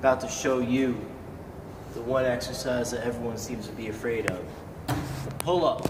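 A man at a moderate pace over noticeable background noise. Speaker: fitness demonstrator. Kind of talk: casual tutorial. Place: gym. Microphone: phone near.

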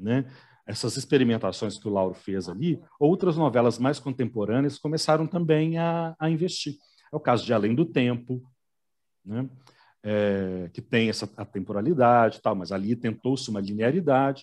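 A man's ordinary speaking voice at medium pitch, moderate in pace, with lively intonation and a quiet background. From Belo Horizonte, Brazil. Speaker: telenovela commentator. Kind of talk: casual chat.

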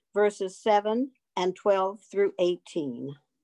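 The surroundings are quiet. A woman talks. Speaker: lay reader in church service. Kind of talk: scripture reading. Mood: solemn measured delivery. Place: home room. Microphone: video call.

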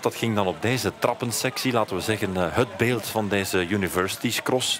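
A fairly low-pitched man at a moderate pace, with noticeable background noise. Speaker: cyclocross commentator. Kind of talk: sports commentary, race highlights voice-over. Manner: fluent, narrating past events in recap style.

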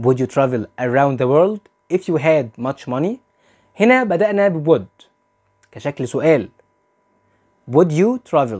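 A man's fairly high voice with very wide pitch swings, long and frequent pauses, and a quiet background. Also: fairly slow pace. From Egypt. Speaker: English teacher. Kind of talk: lecture. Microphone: lapel.

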